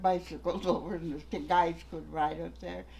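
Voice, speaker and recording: A woman with an Upper Midwest accent speaks at a fairly slow pace. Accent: Upper Midwest American. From North Manitou Island, Michigan. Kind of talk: oral history interview answer.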